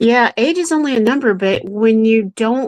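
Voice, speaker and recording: Moderately paced, a woman talks in an unremarkable speaking voice with lively intonation, the sound dry and close with no echo. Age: 60s. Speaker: show co-host. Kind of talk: live show casual chat.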